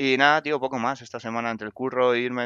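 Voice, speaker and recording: Very fast male speech with a bright, sharp tone, a medium pitch and ordinary pitch variation, in a dry, close sound with no echo and a quiet background. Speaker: podcast co-host. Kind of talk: casual chat.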